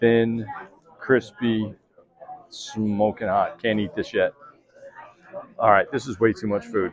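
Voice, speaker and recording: With light background noise behind him, a man speaks at a moderate pace. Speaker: food vlogger. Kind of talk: casual food review vlog. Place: cafe. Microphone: phone near.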